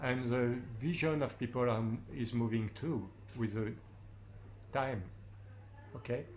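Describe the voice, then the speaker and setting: With audible room echo, a man at a medium pitch speaks at a fairly slow pace, using fairly even intonation and long, frequent pauses. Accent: French. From France. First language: French. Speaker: war photographer. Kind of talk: panel discussion. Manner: halting.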